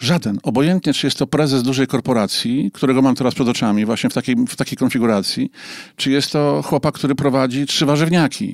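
At a very fast pace, a man speaks at a medium pitch with ordinary pitch variation, recorded very cleanly with a silent background and a dry, close sound with no echo. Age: 50s. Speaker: psychotherapist. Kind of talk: interview. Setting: studio.

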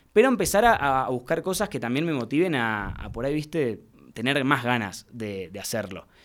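A man speaks with a Rioplatense accent at a moderate pace. The recording is very clean, with a silent background. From Argentina, Mar del Plata. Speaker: youtuber and actor. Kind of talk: casual interview.

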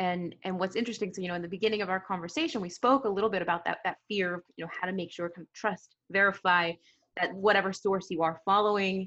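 At a fairly quick pace, an unremarkable speaking voice talks with fairly even intonation. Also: woman. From US. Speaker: podcast host. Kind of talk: interview, polished intro.

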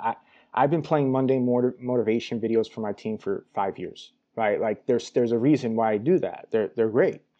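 Speaking with an American accent, a man has an unremarkable speaking voice at medium pitch. His pace is moderate and his pitch variation ordinary. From New York. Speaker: sales development manager. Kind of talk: casual interview.

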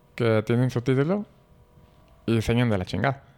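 A man with a Mexican accent speaks at a moderate pace. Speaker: groom-to-be, brother of host. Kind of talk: casual chat.

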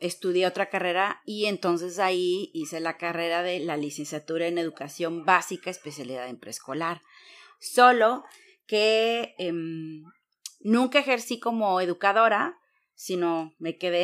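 A woman with a normal speaking voice, fairly low in pitch, at a fairly slow pace with lively intonation. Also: very clean recording, silent background. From Mexico, Veracruz. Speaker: entrepreneur. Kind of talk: interview.

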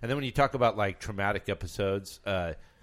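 A man's fairly quick speech with ordinary pitch variation and music in the background. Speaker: podcast host. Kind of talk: casual chat. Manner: joking, banter.

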